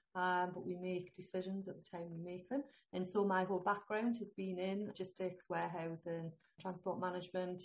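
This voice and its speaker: Speech comes at a fairly quick clip. Intonation is monotone and flat. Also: woman, medium pitch for a woman. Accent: northeast English. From northeast England. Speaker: holistic health consultant. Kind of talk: interview.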